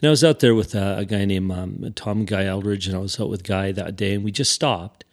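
The man's voice is fairly low in pitch and his pace fairly quick. The background is quiet. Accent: Canadian. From Saskatchewan, Canada (Regina). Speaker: motorcycle riding instructor. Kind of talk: interview. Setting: studio. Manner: halting.

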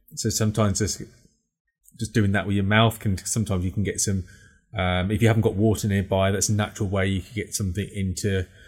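A man speaks at a fairly low pitch, somewhat breathy. His intonation is flat and monotone. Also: very clean recording, silent background. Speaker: podcast co-host. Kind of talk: casual chat. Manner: fast talker.

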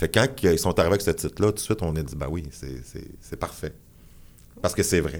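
A man talks at a fairly quick pace in a very deep, low voice with vocal fry. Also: lively intonation. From Quebec, Abitibi-Témiscamingue (Rouyn-Noranda). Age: 40s. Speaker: performance artist and musician. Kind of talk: interview.

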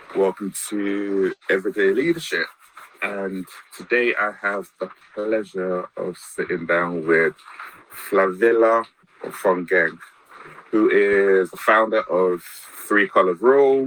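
A man speaks at a very slow pace in a fairly low voice, with ordinary pitch variation and noticeable background noise behind him. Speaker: podcast host. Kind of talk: interview.

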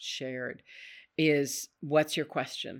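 In a very clean recording with a silent background, a woman speaks at a very deep, low pitch. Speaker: college president and podcast host. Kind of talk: interview conversation.

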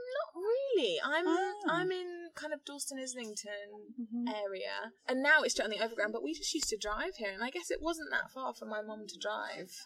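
A high-pitched woman speaks at a moderate pace with very wide pitch swings and hardly any pauses. Noticeable background noise is present. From London, England. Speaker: artist and writer. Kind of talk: casual chat. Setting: outdoors.

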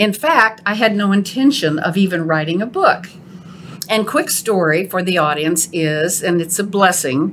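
At a moderate pace, a woman talks while noticeable background noise lingers underneath. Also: medium pitch for a woman, ordinary pitch variation. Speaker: podcast host. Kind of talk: casual interview chat.

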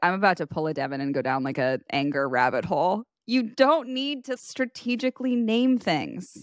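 With a Valley Girl accent and very wide pitch swings, a woman is heard on a very clean recording with a silent background and a dry, close sound with no echo. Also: medium pitch for a woman, moderate pace. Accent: Valley Girl cadence. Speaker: podcast co-host. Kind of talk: casual chat. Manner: laughs often.

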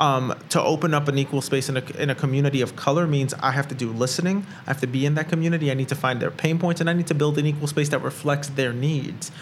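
A man's fairly high, somewhat breathy voice at a very fast pace, with fairly even intonation and very even loudness. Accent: American. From Brooklyn, New York. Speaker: entrepreneur and co-working space founder. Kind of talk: casual interview conversation. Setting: recording at a co-working space.

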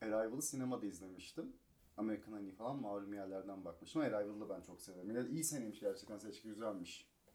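Delivered at a very fast pace, the dark, mellow voice carries ordinary pitch variation amid audible room echo. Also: man, fairly low pitch for a man. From Turkey, Kocaeli. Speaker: radio staffer and film fan. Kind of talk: casual chat. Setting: hotel room.

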